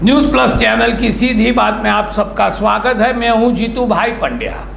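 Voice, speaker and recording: Noticeable background noise and audible room echo surround a man whose loudness stays very even. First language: Gujarati (speaking Hindi). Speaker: online commentary show host. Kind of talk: direct-to-camera monologue.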